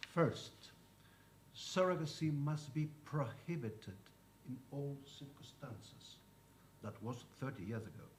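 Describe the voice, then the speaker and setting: In a room with audible echo, a man speaks at a fairly slow pace with a fairly high pitch and ordinary pitch variation. His voice is somewhat breathy, broken by long, frequent pauses. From Spain. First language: Spanish. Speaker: lawyer. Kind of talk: conference talk. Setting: conference panel.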